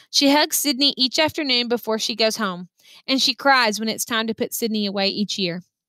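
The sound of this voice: The voice is an unforced reading voice. It is used throughout.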